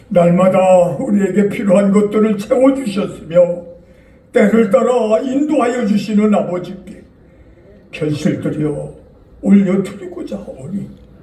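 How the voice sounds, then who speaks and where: A man speaks very slowly at a high pitch, with ordinary pitch variation. Audible room echo and noticeable background noise fill the recording. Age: 80s+. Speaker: church elder. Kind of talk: public prayer. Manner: formal.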